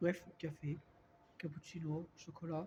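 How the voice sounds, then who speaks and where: With a dark, mellow tone, the man's voice sits fairly high in pitch. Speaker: vlogger. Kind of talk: casual vlog talk. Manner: hesitant, many fillers.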